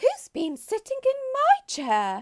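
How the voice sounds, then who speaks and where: The voice sounds female, squeaky and pitched extremely high. It is a put-on character voice. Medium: read story.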